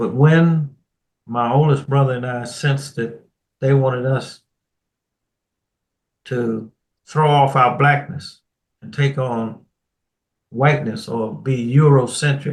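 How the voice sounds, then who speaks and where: Somewhat breathy and with an American accent, a man speaks at a very slow pace, with long, frequent pauses and big swings in loudness. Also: medium pitch for a man, fairly even intonation. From Washington DC. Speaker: retired Air Force colonel. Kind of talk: interview answer.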